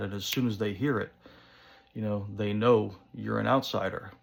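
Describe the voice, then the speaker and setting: This is a man speaking. He has an American accent. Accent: thick New Jersey accent, sometimes toned down. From northern New Jersey. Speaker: pipe-smoking vlogger. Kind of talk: casual monologue vlog. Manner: casual, many fillers.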